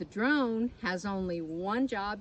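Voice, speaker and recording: A woman at medium pitch, with lively intonation and a very slow pace. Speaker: beekeeper educator. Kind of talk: children's educational program. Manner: talking quietly.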